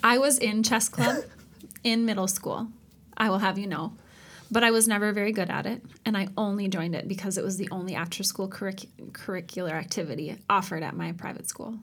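With an ordinary speaking voice, a woman talks fairly quickly at a medium pitch with ordinary pitch variation. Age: 30s. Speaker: podcast co-host. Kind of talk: casual chat.

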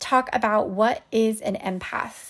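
Very slow speech from a woman at fairly high pitch with ordinary variation, on a very clean recording with a silent background. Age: 30s. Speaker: wellness podcast host and coach. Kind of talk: solo podcast monologue.

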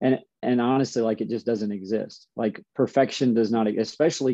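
Dry and close with no echo, a man's unremarkable speaking voice moves fairly quickly at a medium pitch with fairly even intonation. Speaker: basketball coach. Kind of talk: casual interview chat.

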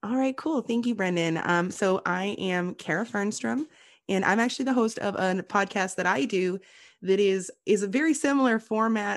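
This is an unremarkable speaking voice, a woman's at medium pitch with lively intonation. She keeps a moderate pace against a quiet background. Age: 30s. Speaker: podcast guest, podcaster. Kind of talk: casual chat. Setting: call.

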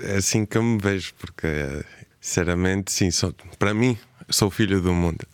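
A man with a fairly low voice talks at a moderate pace. His intonation stays fairly even, with long, frequent pauses. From Spain, Cape Verdean family. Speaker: singer and songwriter. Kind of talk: radio interview.

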